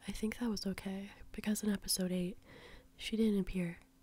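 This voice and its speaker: Her voice is somewhat breathy, with a dark, mellow tone and a relaxed tone, the speaker a woman. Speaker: ASMR artist. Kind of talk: ASMR drawing commentary. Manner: soft-spoken, relaxed.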